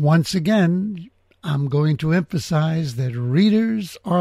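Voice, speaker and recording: A man speaks with an American accent at a high pitch. His tone is dark and mellow, with lively intonation. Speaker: podcast host. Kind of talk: casual interview. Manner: confident.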